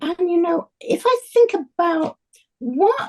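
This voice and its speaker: A woman's dark, mellow tone at a very slow pace. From Germany, near the Belgian border. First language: German. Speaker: Holocaust survivor and author. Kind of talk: testimony.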